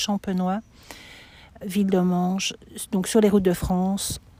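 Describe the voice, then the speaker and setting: Her voice is medium-pitched with a dark, mellow tone. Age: 60s. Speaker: pilgrim sharing her walk. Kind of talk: testimony interview. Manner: halting, many hesitations.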